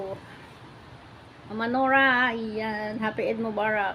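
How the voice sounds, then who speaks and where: A woman with a high-pitched, bright, sharp tone speaks at a fairly slow pace. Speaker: vlogger, former OFW. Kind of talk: casual vlog greeting. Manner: animated.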